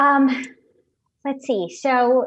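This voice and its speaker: A woman speaks with an American accent. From US Northeast, suburban Connecticut. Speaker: writer. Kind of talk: interview. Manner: hesitant, many fillers.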